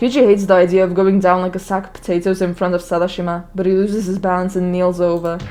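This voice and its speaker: Against music in the background, a woman with a medium pitch speaks very fast in a flat monotone. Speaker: let's play gamer. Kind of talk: casual gameplay commentary.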